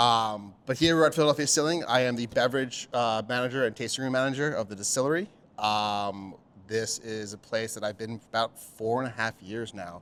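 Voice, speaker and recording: This man has a normal speaking voice at a medium pitch, with ordinary pitch variation. He talks at a fairly quick pace with an American accent. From Pennsylvania, Pottstown. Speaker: bartender and beverage manager. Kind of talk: casual chat.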